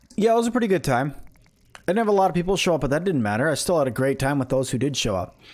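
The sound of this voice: A man speaks very fast with a fairly high pitch. His tone is slightly mellow and his intonation lively.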